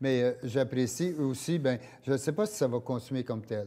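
At a moderate pace, a man speaks in a medium pitch with a dark, mellow tone and ordinary pitch variation. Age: 70s. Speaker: walking club founder; interview guest. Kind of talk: casual interview. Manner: halting. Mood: relaxed, reflective. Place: studio. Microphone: lapel.

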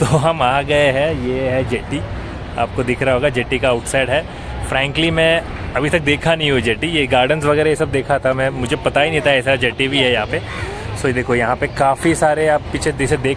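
Over noticeable background noise, the voice moves at a moderate pace with fairly even intonation, in a dry sound with no echo. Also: man. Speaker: travel vlogger. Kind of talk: casual vlog chat. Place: waterside. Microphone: phone near.

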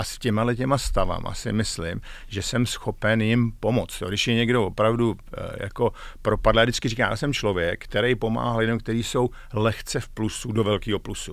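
A man speaks at a moderate pace with fairly even intonation. The sound is dry with no echo, and the background is quiet. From Czechia. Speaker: executive coach, former tech manager; executive coach. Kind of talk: interview. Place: studio. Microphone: studio mic.

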